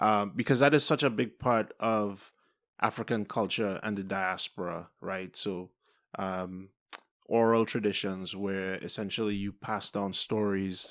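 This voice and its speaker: In a very clean recording with a silent background, a man with a Trinidadian accent speaks at a fairly slow pace, his fairly low pitch held in fairly even intonation. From Trinidad and Tobago. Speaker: artist, film review guest. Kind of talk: casual film review discussion. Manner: thoughtful, many fillers.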